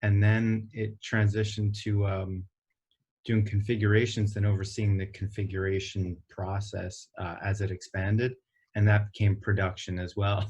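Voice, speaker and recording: Against a quiet background, a somewhat breathy man speaks at a moderate pace and fairly low pitch in a monotone, flat intonation. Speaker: company executive. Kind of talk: interview. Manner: hesitant, many fillers.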